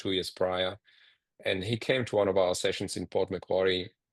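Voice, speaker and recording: A man's very deep, low voice in a monotone, flat delivery against a quiet background. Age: 50s. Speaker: social enterprise founder. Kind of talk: presentation. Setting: video call.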